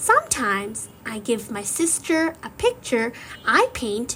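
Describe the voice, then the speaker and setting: Against noticeable background noise, a woman with a high pitch speaks very slowly with lively intonation. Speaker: English learning podcast host. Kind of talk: slow scripted teaching monologue.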